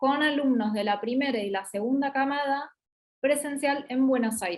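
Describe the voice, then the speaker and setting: This speaker has an Argentine accent. The pace is moderate and the pitch varies in an ordinary way. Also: woman. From Argentina. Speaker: business school regional representative and master's coordinator. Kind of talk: online promotional talk / Q&A. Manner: hesitant, many fillers.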